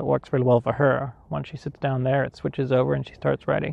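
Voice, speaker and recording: Here a man uses a normal speaking voice at a fairly quick pace with ordinary pitch variation. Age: 40s. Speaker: podcast host, writer. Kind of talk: solo talk on a hike. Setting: outdoors.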